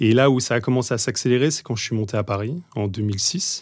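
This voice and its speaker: Heard in a very clean recording with a silent background, a man of medium pitch speaks with fairly even intonation. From western France, Deux-Sèvres and Bordeaux. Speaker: tech product executive. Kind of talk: podcast interview. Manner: hesitant with many fillers and repetitions.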